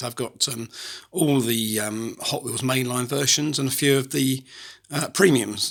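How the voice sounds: A man puts on a hoarse, raspy character voice at medium pitch and a moderate pace.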